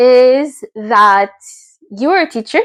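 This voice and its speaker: In a Quebec accent, a woman speaks very slowly. Her pitch varies in an ordinary way. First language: French. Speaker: teacher, vlogger. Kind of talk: casual talking-head vlog. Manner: hesitant, many fillers.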